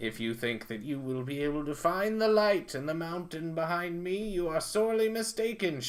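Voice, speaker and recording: Loud and high-pitched, a man uses a put-on character voice at a moderate pace. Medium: solo performance. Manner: loud, territorial.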